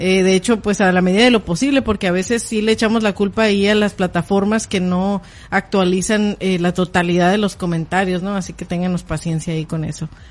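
Talking at a very fast pace with hardly any pauses, a woman keeps a medium pitch and fairly even intonation. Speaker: podcast host. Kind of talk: casual chat. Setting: live stream.

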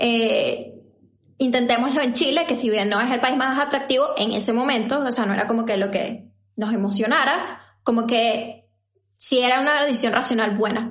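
With audible room echo, a woman speaks at a moderate pace in a high pitch, her intonation fairly even and her loudness very even. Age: 20s. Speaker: podcast co-host. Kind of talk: casual chat.

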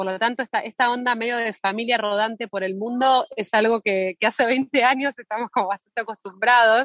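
This is a woman speaking. Her pace is very fast. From Argentina. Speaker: actress. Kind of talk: interview. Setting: phone call.

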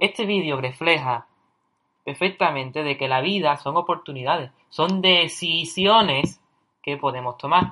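Here a man talks at a fairly slow pace with an Andalusian accent. His pitch is fairly high, with ordinary variation. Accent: Andalusian Spanish (Cádiz). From Cádiz, Andalusia, southern Spain. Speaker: podcast host, university student. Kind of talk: casual monologue on personal development.

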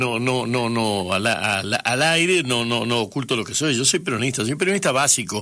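Amid noticeable background noise, a medium-pitched man speaks at a moderate pace with lively intonation and hardly any pauses. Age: 70s. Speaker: radio host. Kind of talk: radio interview.

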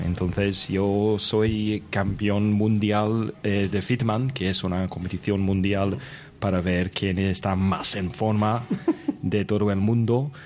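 Noticeable background noise behind a man with an English accent, a fairly low pitch, monotone, flat intonation, a very slow pace and very even loudness. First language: English (speaking Spanish). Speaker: English teacher podcaster, guest player. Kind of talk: role-playing game.

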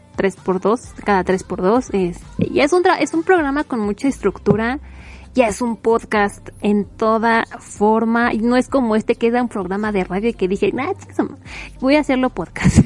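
Animated in tone, a woman with a Mexican accent speaks at a fairly slow pace, fairly high in pitch with lively intonation. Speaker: podcast host. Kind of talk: casual monologue. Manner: rambling with fillers.

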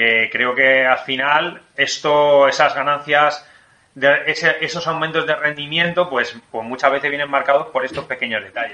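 A man with a Spanish accent and fairly high pitch, fairly slow pace, fairly even intonation, big swings in loudness, and noticeable background noise. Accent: Spain Spanish. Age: 40s. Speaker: podcast host, sports science doctor. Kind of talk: casual interview.

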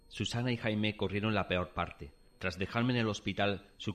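Fairly even intonation at a fairly quick pace. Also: man. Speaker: dramatized story narrator (voice actor). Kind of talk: dramatized ghost story, first-person narration. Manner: tense, suspenseful, hushed then startled; dramatic, vivid, building dread.

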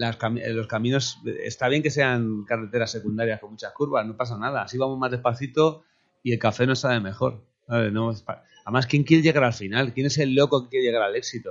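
In an unremarkable speaking voice, a man of medium pitch talks at a fairly quick pace with fairly even intonation. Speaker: musician. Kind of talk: casual chat.

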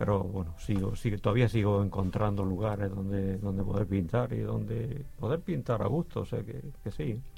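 A man with a fairly low pitch speaks with a dark, mellow tone and vocal fry. His intonation is lively, his pace moderate, with hardly any pauses. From Murcia, Spain. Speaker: painter. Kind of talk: interview.

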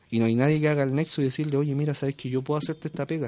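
A man speaks at a very fast pace in a dark, mellow tone, with fairly even intonation over a quiet background. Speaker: esports community representative. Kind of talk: casual interview.

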